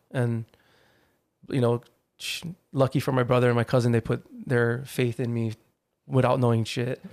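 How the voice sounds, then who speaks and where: The speaker has a Hawaiian accent and a monotone, flat intonation. Long pauses come often. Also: man, medium pitch for a man, moderate pace, dry, close sound with no echo. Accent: Hawaii local English. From Hawaii, Hawaii Kai on Oahu. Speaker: artist manager and agency co-founder. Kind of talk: casual interview chat. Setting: studio.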